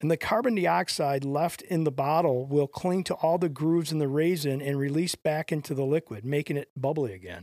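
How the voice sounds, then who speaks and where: In a very clean recording with a silent background and a dry, close sound with no echo, a man speaks fast-ish with hardly any pauses, his fairly high pitch carrying lively intonation. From US Midwest, Detroit. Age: 40s. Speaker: podcast co-host. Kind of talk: casual chat; reading aloud.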